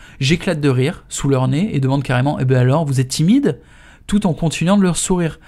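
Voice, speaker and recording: A man with a dark, mellow tone and fairly high pitch talks at a fairly quick pace with hardly any pauses, ordinary pitch variation and big swings in loudness, on a very clean recording with a silent background. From France. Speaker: author reading his own book. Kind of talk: audiobook reading. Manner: casual, slangy narration.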